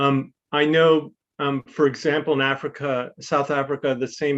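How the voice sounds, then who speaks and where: At a moderate pace, a man with an American accent talks at a fairly high pitch in a monotone, flat intonation. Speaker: public health researcher. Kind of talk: webinar Q&A answer. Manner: halting, many fillers.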